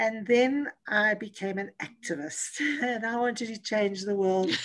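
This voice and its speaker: A woman talks at a fairly slow pace with ordinary pitch variation over a quiet background. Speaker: motivational speaker and coach. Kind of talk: interview. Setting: video call. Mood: warm, reflective, smiling. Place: home room. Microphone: video call.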